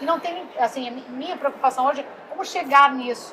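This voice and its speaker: A woman uses a raised, projected voice at a moderate pace, with ordinary pitch variation. Noticeable background noise runs under her speech. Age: 70s. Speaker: landscape architect, speaker. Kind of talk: casual interview chat. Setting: trade fair stand.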